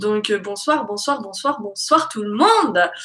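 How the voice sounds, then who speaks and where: A woman speaks in a bright, sharp tone at a fairly slow pace with very wide pitch swings. The background is quiet. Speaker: YouTube live streamer. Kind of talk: casual live chat with viewers. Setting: live stream with chat. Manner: animated, chatty. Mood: relaxed, playful. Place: home room. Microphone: webcam.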